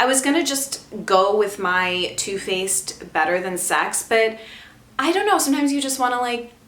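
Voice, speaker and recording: A woman's fairly high voice at a moderate pace, with very wide pitch swings, audible room echo and noticeable background noise. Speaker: beauty vlogger. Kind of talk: casual product review vlog. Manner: animated.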